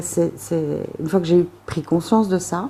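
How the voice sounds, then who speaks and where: A woman with a fairly low pitch and a dark, mellow tone speaks at a fairly slow pace. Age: 40s. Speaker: recovering alcoholic. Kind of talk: interview answer.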